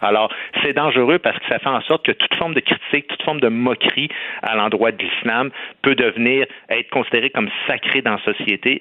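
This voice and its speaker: Ordinary pitch variation marks the fairly quick delivery. Behind it, background noise is noticeable. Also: man, medium pitch for a man. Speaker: comedian and commentator. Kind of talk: radio debate.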